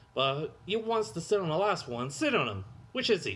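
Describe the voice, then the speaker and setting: A man's put-on character voice, high-pitched with very wide pitch swings, at a moderate pace. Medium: read story. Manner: quarrelsome, coarse.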